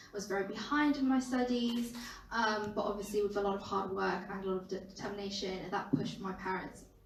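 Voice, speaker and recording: A woman talks at a very fast pace with ordinary pitch variation. Audible room echo and noticeable background noise surround her. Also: medium pitch for a woman. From northern England, Durham. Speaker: student campaigner. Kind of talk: panel discussion. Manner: many fillers, 'um'.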